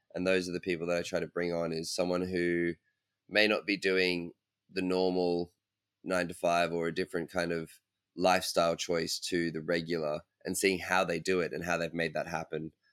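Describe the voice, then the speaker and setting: A man's very deep, low voice with an Australian accent, at a moderate pace and in a monotone, flat intonation, with a dry, close sound and no echo. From Australia (Brisbane). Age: 20s. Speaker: parkour athlete. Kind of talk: interview.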